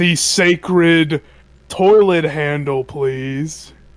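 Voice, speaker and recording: The speaker uses a put-on character voice at a middle pitch. Delivery comes at a very slow pace. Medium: actual play.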